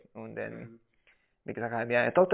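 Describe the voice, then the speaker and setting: Lively intonation from a man at a medium pitch. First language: Spanish (speaking German). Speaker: coffee producer and roaster. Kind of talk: casual interview. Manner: halting, many fillers.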